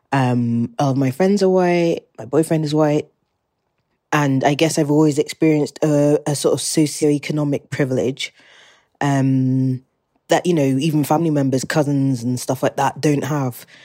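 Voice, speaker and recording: In a British accent, a woman speaks at a moderate pace with a very deep, low pitch, a dark, mellow tone and fairly even intonation. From England. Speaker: listener sharing a message. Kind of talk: voice memo, personal reflection. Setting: recorded voice memo.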